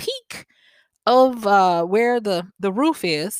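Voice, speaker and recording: With a Southern US accent and lively intonation, the speech is recorded very cleanly against a silent background, with a dry, close sound and no echo. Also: woman. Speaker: podcast host and wisdom coach. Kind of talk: solo podcast monologue. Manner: conversational with frequent fillers.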